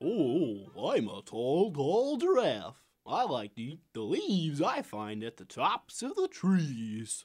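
With music in the background, a cartoonish character voice at middle pitch moves at a fairly slow pace with hardly any pauses.

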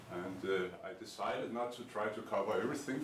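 A man talks at a moderate pace over light background noise. Audible room echo surrounds the voice. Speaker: lecturer. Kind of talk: lecture. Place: classroom. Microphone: camera far.

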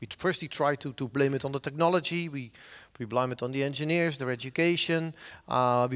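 A man speaks with a Dutch accent at a fairly quick pace. The background is quiet. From Netherlands, Zeeland; Netherlands. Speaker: professor of software engineering. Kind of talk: conference talk. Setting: stage with audience. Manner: halting. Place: hall. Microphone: headset.

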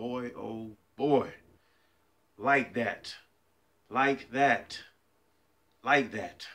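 Very slowly and with fairly even intonation, a man talks in a bright, sharp tone. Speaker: fitness vlogger. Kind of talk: casual vlog chat. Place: kitchen. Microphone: phone near.

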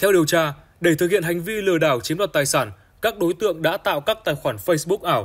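A man talks at a fairly quick pace in a plain, everyday voice. His pitch variation is ordinary. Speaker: news presenter. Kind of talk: news reading.

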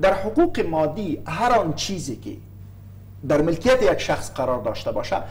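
Very wide pitch swings mark the speech of a man with a high pitch. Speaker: guest. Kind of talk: interview answer. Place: studio. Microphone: lapel.

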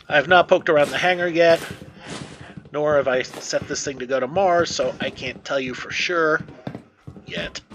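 Noticeable background noise sits behind a man talking at a moderate pace. He leaves long, frequent pauses, and his intonation is fairly even. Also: fairly high pitch for a man. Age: middle-aged. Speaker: gaming youtuber. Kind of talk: let's play commentary. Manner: casual.

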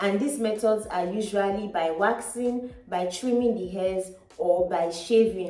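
Audible room echo surrounds this voice. It moves at a fairly slow pace with ordinary pitch variation. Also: woman. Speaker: beauty vlogger. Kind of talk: tutorial. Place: home room.

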